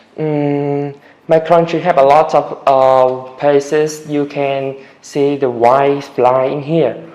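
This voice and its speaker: A man's fairly high voice at a very slow pace, with monotone, flat intonation. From Vietnam, Da Nang. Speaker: English learner, test candidate. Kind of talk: speaking exam interview. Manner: halting, many hesitations.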